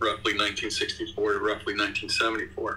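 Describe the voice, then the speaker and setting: A man speaks with an American accent over light background noise. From US. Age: 60s. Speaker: video game composer. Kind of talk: interview. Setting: video call. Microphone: video call.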